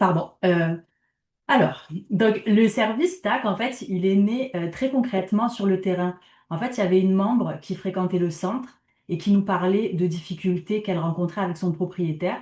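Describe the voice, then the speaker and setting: A woman talks at a moderate pace, sounding somewhat breathy. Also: medium pitch for a woman, ordinary pitch variation. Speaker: community organization project worker. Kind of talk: conference talk.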